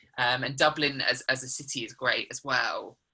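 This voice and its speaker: A southern English accent at a moderate pace. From England, Suffolk. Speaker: musical theatre actor. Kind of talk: interview. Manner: hesitant, many ums.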